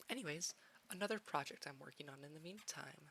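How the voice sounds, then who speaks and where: The woman's tone comes across bright and sharp. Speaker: 3D avatar creator. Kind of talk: casual talk over screen recording. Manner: rambling, hesitant.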